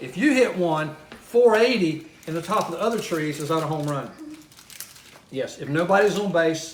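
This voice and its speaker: The voice moves at a moderate pace with ordinary pitch variation and big swings in loudness. Audible room echo and noticeable background noise are in the recording. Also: man, high pitch for a man. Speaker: church member in a candy challenge. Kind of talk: casual chat.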